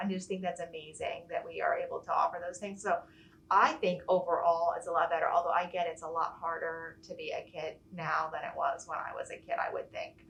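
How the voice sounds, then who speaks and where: Over noticeable background noise, a woman talks at a fairly quick pace with an American accent. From Virginia Beach, US (childhood in England and Iceland). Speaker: school nurse. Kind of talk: casual interview chat.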